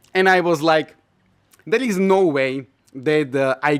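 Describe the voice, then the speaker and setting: Speaking at a very slow pace, a man with a Slovak accent uses a fairly high pitch and ordinary pitch variation. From Slovakia. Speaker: YouTuber sharing personal experiences. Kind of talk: casual personal storytelling. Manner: hesitant, many filler uhs.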